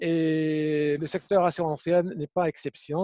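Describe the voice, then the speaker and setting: Over a quiet background, a man with a high pitch and a dark, mellow tone speaks at a very slow pace, the sound dry and close with no echo. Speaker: webinar moderator. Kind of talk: panel moderation.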